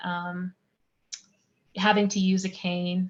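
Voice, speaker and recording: Very slowly, a woman speaks with monotone, flat intonation. Her voice is somewhat breathy. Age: 30s. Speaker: singer-songwriter and arts advocate. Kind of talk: interview.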